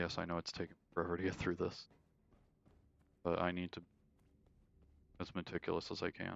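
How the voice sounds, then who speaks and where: A soft-spoken man with a very deep, low pitch talks at a fairly quick pace in a flat monotone, leaving long, frequent pauses. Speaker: gaming streamer. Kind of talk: live gameplay commentary.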